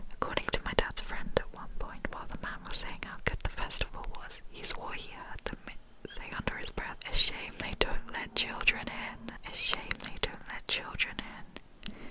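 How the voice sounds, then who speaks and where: Amid noticeable background noise, a woman whispers at a moderate pace with big swings in loudness and hardly any pauses. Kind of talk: scary story reading. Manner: whispered, soft.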